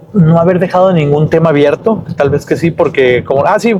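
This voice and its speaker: This man speaks at a fairly slow pace. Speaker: language teacher vlogger. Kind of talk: vlog tutorial. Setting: outdoors. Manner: halting.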